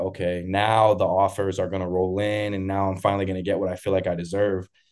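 A man with an American accent talks at a fairly low pitch in a monotone, flat intonation. The background is quiet. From Massachusetts, Boston area. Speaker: college football player. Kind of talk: casual interview. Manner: confident.

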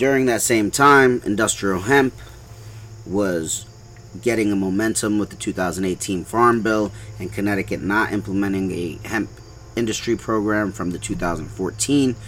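Speaking at a fairly slow pace, a man with a fairly low pitch and ordinary pitch variation has an unremarkable speaking voice. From New York City (Brooklyn), Puerto Rican American. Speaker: hemp farm owner. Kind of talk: casual interview.

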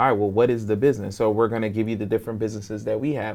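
Fairly low male voice with an American accent, fairly even intonation, and a very clean recording against a silent background. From New York and Philadelphia, US. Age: 30s. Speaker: entrepreneur. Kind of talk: interview.

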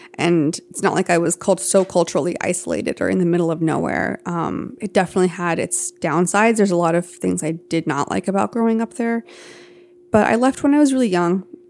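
A woman with an American accent and a normal speaking voice, fairly low-pitched, with lively intonation at a fairly quick pace. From US South, Athens, Georgia. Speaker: tattoo artist and multidisciplinary artist. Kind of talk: podcast interview. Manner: reflective, with frequent fillers.

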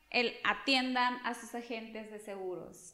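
Her pitch moves with ordinary variation. This woman speaks at a very slow pace. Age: 30s. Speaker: insurance agent. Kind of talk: podcast interview.

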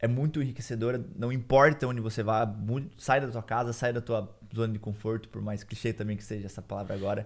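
A man speaks with a slight Curitiba accent at a medium pitch. His pace is fairly quick and his intonation fairly even. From Brazil, Curitiba. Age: 20s. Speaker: Brazilian immigrant. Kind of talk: casual chat.

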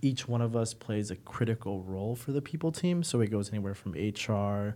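Speaking at a moderate pace with an American accent, a man uses a fairly low pitch and a dark, mellow tone on a very clean recording with a silent background. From United States. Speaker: recruiting manager. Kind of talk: casual interview.

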